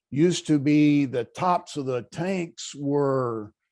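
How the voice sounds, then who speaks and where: A man with an American accent speaks in a dark, mellow tone with ordinary pitch variation. The recording is very clean with a silent background. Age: 60s. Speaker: pipe welder, audience member. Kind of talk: Q&A at virtual conference.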